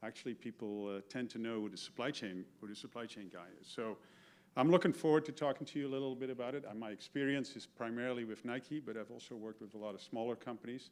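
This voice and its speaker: Talking very fast with a Dutch accent, a man keeps a medium pitch with ordinary variation while his loudness swings widely. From Netherlands. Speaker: keynote speaker, retired supply chain executive. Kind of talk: keynote talk. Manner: halting, many fillers and repeats.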